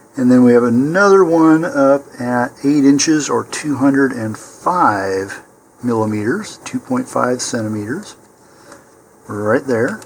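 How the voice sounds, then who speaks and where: A man's calm, medium-pitched voice with lively intonation, a fairly slow pace and noticeable background noise. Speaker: model rocket builder. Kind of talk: tutorial. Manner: calm, step-by-step.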